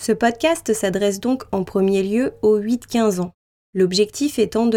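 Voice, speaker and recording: Dark, mellow tone, ordinary pitch variation and a fairly slow pace. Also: woman. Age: 20s. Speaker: podcast host and travel writer. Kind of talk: scripted narration.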